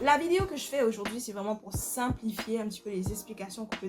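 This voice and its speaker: A woman speaks in a fairly high pitch with ordinary pitch variation. Music plays in the background. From Mauritius. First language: Mauritian Creole (speaking French). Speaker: YouTuber explaining language history. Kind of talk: explanatory video. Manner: informal, with hesitations.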